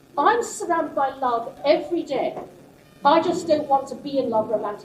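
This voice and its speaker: Lively intonation over noticeable background noise. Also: woman, high pitch for a woman, fairly quick pace. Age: 60s. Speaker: guest lecturer, website founder. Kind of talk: Q&A session. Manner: halting, many ums.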